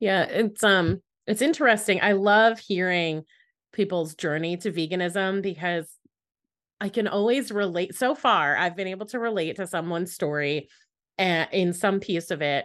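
A woman speaks in a plain, everyday voice at a moderate pace. Her pitch is medium with ordinary variation, and the background is quiet. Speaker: podcast host. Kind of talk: casual interview chat.

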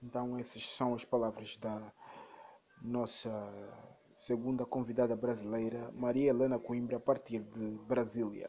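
This man has a dark, mellow tone at a medium pitch, speaking in a monotone, flat way at a fairly slow pace with long, frequent pauses. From Angola. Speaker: podcast host. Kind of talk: scripted narration.

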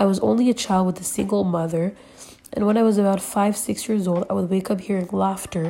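The text is read aloud. The voice sounds natural.

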